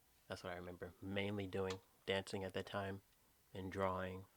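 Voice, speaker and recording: Captured on a very clean recording with a silent background, a man speaks at a fairly low pitch. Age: 20s. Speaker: podcast co-host. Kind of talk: casual chat.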